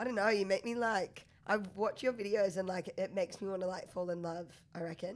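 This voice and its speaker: Fairly quick and with fairly even intonation, a woman at medium pitch speaks with an Australian accent. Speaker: podcast host. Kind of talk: casual interview chat.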